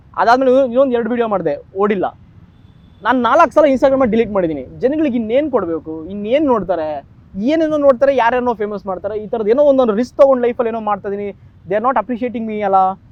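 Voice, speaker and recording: A man's extremely high voice with lively intonation over noticeable background noise. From India, Karnataka (raised in Mumbai and Bengaluru). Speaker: road-safety content creator. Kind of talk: interview.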